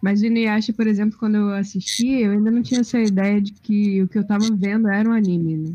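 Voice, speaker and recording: Very fast and with hardly any pauses, a woman delivers a dark, mellow, somewhat breathy voice at medium pitch, her loudness very even and her intonation fairly even. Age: 20s. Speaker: film graduate panelist. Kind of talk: casual chat.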